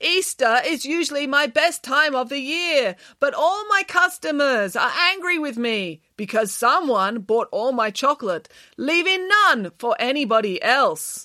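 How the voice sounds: Using a put-on character voice with a bright, sharp tone, the speaker moves at a fairly slow pace with few pauses and lively intonation. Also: woman, high pitch for a woman.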